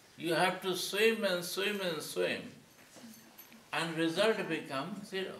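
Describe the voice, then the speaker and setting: Amid noticeable background noise and audible room echo, a man with a high pitch talks at a very slow pace, with fairly even intonation and long, frequent pauses. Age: 70s. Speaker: spiritual teacher. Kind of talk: lecture. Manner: halting, short phrases paused for interpreter.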